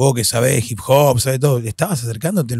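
The man's voice is somewhat breathy, heard in a dry sound with no echo. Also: quiet background. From Argentina, Posadas (Misiones); Misiones, Argentina. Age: 40s. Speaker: freestyle battle host and hip hop ministry leader; podcast guest, hip hop host. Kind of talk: casual interview chat; interview answer. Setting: recording studio. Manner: animated. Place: studio. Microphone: studio mic.

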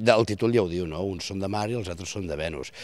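A man speaks with a very deep, low pitch and ordinary pitch variation. The sound is dry, with no echo. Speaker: stage actor. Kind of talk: interview answer. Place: stage. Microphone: handheld.

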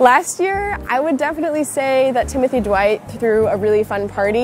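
A woman at a fairly quick pace, dry sound with no echo, music in the background. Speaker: interviewee. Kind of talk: interview answer. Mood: cheerful, relaxed. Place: street. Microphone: phone near.

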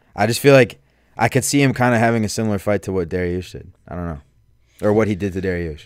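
A man with an American accent speaks at a very fast pace, his loudness swinging widely and his pitch varying in an ordinary way. The sound is dry, with no echo. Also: fairly low pitch for a man, quiet background. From Chicago suburbs. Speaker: podcast co-host. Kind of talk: casual chat. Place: studio. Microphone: studio mic.

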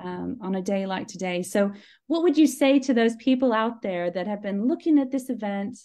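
Speaking at a moderate pace against a quiet background, a woman has a fairly high pitch and a dark, mellow tone. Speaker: charismatic renewal team member. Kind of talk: live stream interview host talk. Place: home room. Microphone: video call.

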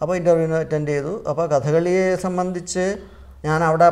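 A man speaks in a monotone with flat intonation. His pitch sits fairly high for a man. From Kerala, India. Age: 60s. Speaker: Kathakali artist; interviewee. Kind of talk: interview. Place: studio. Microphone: lapel.

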